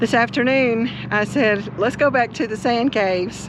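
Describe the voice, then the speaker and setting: A woman speaks at a moderate pace in a fairly high voice with ordinary pitch variation over noticeable background noise. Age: 60s. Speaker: RV travel vlogger. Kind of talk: casual chat.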